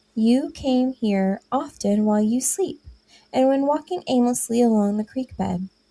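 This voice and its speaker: A woman's squeaky, high-pitched put-on character voice at a moderate pace, with ordinary pitch variation. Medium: read story.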